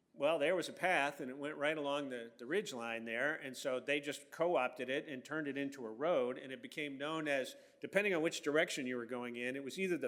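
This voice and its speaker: Speaking at a fairly quick pace with an American accent, a man has a plain, everyday voice and ordinary pitch variation. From Virginia, Franklin County and Northern Virginia. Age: 60s. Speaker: historian. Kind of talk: public lecture. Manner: casual, many fillers and restarts.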